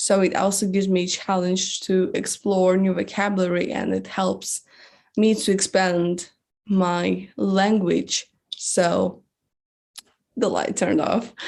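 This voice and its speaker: Speaking in a non-native accent, a woman keeps a medium pitch in monotone, flat intonation. Her pace is fairly slow. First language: not English. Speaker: singer-songwriter. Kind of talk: interview. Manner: halting, many fillers.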